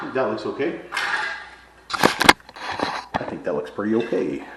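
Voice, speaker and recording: A man's voice with fairly even intonation amid noticeable background noise and audible room echo. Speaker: vlogger doing handyman work. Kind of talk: casual vlog narration while working. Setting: church building, indoor work site. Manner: loud.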